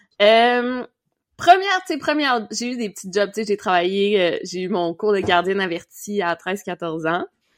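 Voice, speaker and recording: Speaking fairly slowly in a Quebec accent, a woman shows big swings in loudness. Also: medium pitch for a woman, ordinary pitch variation. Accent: Québécois French. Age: 20s. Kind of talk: casual chat.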